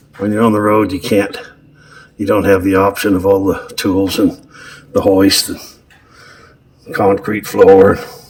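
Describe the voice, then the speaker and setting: A man with a relaxed tone at a fairly slow pace, long, frequent pauses and noticeable background noise behind him. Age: 70s. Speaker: truck driver and mechanic. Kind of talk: casual narration over video footage. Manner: relaxed, with fillers and hesitations.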